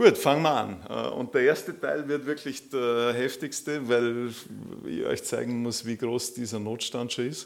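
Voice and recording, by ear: Using vocal fry, a man of medium pitch talks at a fairly slow pace with few pauses and fairly even intonation.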